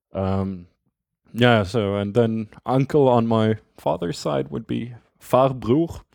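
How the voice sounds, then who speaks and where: A man speaks at a very slow pace with lively intonation in a very clean recording with a silent background. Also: medium pitch for a man. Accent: Swedish. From Sweden, Skåne. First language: Swedish. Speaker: guest, native speaker. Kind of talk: casual interview.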